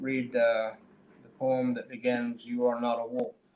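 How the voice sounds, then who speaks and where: Over noticeable background noise, a man speaks in a medium pitch with monotone, flat intonation. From Oklahoma, US (Cheyenne). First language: Cheyenne. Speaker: poet. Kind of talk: poetry reading with discussion. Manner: halting, many fillers.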